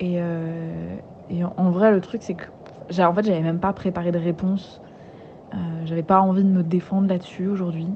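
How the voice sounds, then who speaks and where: Over noticeable background noise, the speech comes at a fairly slow pace with monotone, flat intonation. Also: woman, fairly low pitch for a woman. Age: 20s. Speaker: podcast narrator. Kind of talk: personal audio diary; scripted narration. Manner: hesitant, many fillers.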